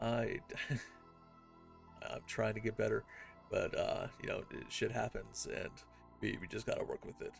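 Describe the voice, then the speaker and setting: Background music is playing. Over it, a man talks at a moderate tempo. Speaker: gaming youtuber. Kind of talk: video game tutorial. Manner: hesitant, many fillers.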